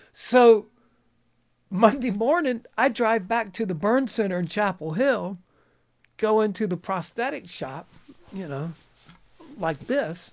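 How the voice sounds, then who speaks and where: Against a silent background in a very clean recording, a high-pitched man with a Southern US accent speaks fairly slowly with lively intonation and long, frequent pauses. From eastern North Carolina. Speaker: actor. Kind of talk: casual chat. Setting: studio.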